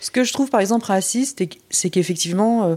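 A woman speaks at a fairly quick pace in a dark, mellow tone. Her pitch varies in an ordinary way. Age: 40s. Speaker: adoptee sharing life story. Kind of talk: testimony. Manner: halting.

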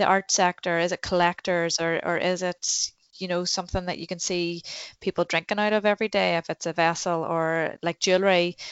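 This woman has a Northern Irish accent and a fairly low pitch. She talks at a fairly quick pace. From Northern Ireland, Newcastle, County Down. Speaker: goldsmith and shop owner. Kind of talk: casual interview chat.

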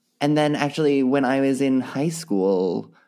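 Lively intonation carries a man's fairly high-pitched voice with a dark, mellow tone. The recording is very clean, with a silent background. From US East Coast. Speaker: actor, singer and comedian. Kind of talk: casual interview. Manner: laughs often.

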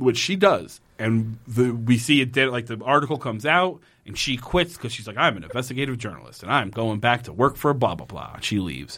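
A man's bright, sharp voice at medium pitch, with vocal fry, lively intonation, big swings in loudness, a fairly quick pace and hardly any pauses. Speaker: podcast host. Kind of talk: casual comedic chat. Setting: studio.

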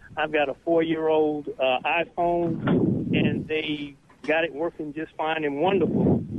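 Over noticeable background noise, someone with a Southern US accent speaks at a fairly slow pace in a monotone, flat intonation. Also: man, fairly high pitch for a man. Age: 60s. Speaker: caller. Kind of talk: call-in radio show. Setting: phone call.

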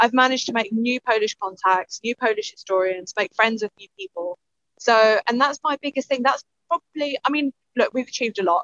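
A woman's bright, sharp voice with an East London accent, high in pitch, lively in intonation and fairly quick, in a dry, close sound with no echo. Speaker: podcast co-host. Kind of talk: casual chat.

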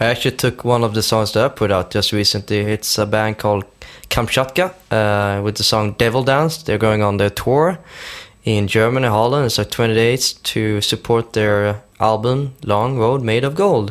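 With a Swedish accent, a man talks at a moderate pace and medium pitch, his pitch varying ordinarily and his loudness very even. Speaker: podcast host. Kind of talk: music chart presentation.

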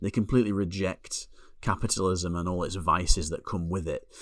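The speaker has a Lancashire accent and a moderate pace. The recording is very clean, with a silent background. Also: man. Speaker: podcast co-host, film reviewer. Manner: monotone, flat delivery.

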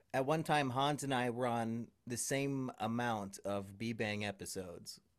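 On a very clean recording with a silent background, a man speaks in a normal speaking voice, medium in pitch, at a fairly slow pace with ordinary pitch variation. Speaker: YouTuber. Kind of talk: casual chat.

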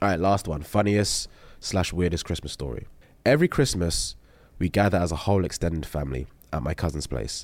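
On a very clean recording with a silent background, a man with a London accent speaks at a fairly quick pace in a very deep, low pitch, with lively intonation and vocal fry. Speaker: podcast host. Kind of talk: casual chat. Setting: studio.

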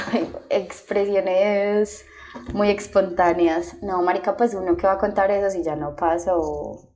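A woman speaks in an unremarkable speaking voice at a medium pitch. Her pace is fairly slow and her intonation fairly even. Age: 20s. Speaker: doctor. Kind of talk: casual chat.

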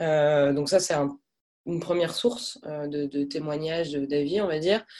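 With fairly even intonation, a woman talks at a very deep, low pitch. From France. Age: 20s. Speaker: job seeker, former expat. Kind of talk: interview. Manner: hesitant, many fillers.

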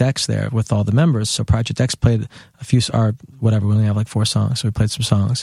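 A man speaks very fast in a somewhat breathy voice with a dark, mellow tone. The sound is dry and close, with no echo. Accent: American. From New York City, Lower Manhattan. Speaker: drummer. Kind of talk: casual chat.

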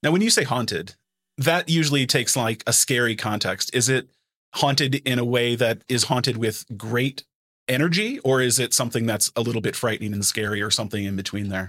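In an unremarkable speaking voice, a man with a medium pitch and ordinary pitch variation talks at a fairly quick pace. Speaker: podcast host. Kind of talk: interview conversation.

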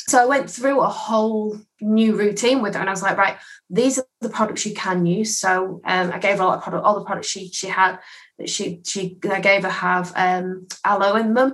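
This woman speaks with an English accent and a fairly even intonation. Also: medium pitch for a woman, moderate pace. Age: 30s. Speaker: skincare consultant. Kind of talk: casual interview.

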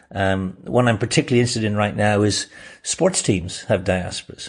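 A man with a Dublin accent, somewhat breathy, fairly low in pitch, at a fairly quick pace with fairly even intonation over a quiet background. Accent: Dublin Irish. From Ireland, Dublin. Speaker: diaspora networking expert. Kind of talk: interview. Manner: hesitant fillers.

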